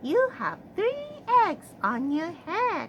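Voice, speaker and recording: A woman does a squeaky put-on character voice at an extremely high pitch with very wide pitch swings. Background noise is clearly audible. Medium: read story. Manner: calm, cheerful.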